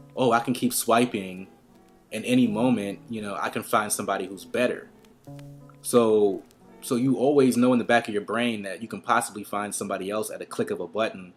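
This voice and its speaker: Music plays in the background as a man of medium pitch talks at a fairly quick pace. His intonation is fairly even. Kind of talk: casual talk to camera. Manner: fast; rambling, stream of consciousness.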